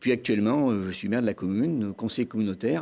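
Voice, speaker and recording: On a very clean recording with a silent background, a man talks fairly quickly in a dark, mellow tone at a fairly low pitch with ordinary variation. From France, Grenoble area. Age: 60s. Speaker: mayor and election candidate. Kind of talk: televised political debate. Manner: hesitant, many fillers.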